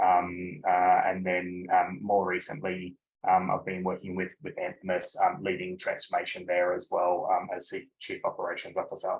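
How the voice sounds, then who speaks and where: Speaking with an Australian accent, a man keeps a moderate pace with hardly any pauses. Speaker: business executive. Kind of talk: webinar interview. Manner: halting, many filler words.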